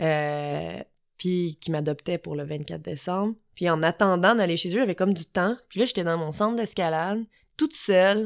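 A woman's fairly low voice, a plain, everyday voice, at a fairly slow pace with ordinary pitch variation, in a very clean recording with a silent background. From Quebec, south shore of Montreal. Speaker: climbing gym owner. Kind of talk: casual interview. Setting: recorded in person in Glen Sutton.

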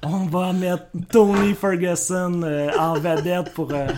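The man's pitch is high, and his intonation is fairly even. He speaks at a very slow pace. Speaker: MMA podcast co-host. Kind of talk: casual chat. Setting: shared microphone in same room.

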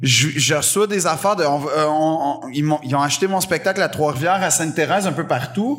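A man with a Quebec accent, with audible room echo. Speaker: comedian. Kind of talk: casual chat. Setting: stage with audience.

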